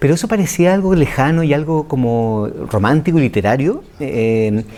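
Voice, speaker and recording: A man with a Chilean accent, fairly high in pitch, with very wide pitch swings. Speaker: writer and screenwriter. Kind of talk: interview answer.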